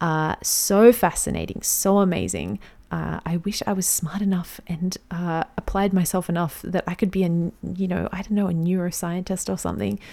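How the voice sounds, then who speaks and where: With an Australian accent, a woman with a fairly low pitch speaks at a moderate pace with fairly even intonation and a dark, mellow tone. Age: 30s. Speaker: podcast host. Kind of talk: solo podcast monologue.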